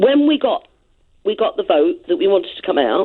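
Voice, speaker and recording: A woman with an English accent, moderate pace, very wide pitch swings. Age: 70s. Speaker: caller. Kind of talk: heated debate. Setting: phone call.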